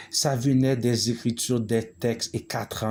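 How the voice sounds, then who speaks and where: Male speech on a very clean recording, the background silent. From Quebec, Montreal (Haitian-born). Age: 40s. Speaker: spiritual vlogger. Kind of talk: monologue video. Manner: halting, many hesitations.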